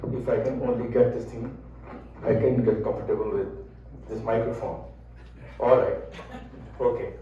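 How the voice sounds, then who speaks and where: A man talks at a moderate pace with long, frequent pauses. Room echo is audible, and background noise is noticeable. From India. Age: 70s. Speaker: speaker on Indian cuisine. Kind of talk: talk to an audience. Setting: room with audience, microphone. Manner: conversational.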